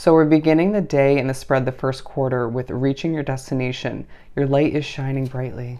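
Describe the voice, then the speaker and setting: Fairly quick and fairly even in intonation, a woman speaks with a very deep, low pitch and a dark, mellow tone. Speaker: tarot reader. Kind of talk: tarot reading. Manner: stutters at times.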